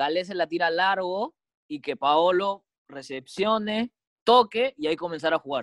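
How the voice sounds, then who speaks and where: A man speaks with lively intonation and a bright, sharp tone. His voice sounds dry and close, without echo. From Peru. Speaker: football podcast co-host. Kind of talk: casual chat. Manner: halting, many repetitions.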